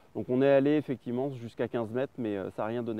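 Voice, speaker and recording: At a very fast pace, a man with a medium pitch speaks with ordinary pitch variation. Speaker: spearfishing vlogger. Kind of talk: outdoor vlog narration. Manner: casual with many hesitations.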